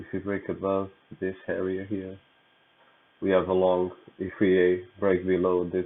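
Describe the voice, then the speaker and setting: A soft-spoken man with a very deep, low pitch. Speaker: trader. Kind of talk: tutorial. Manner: halting.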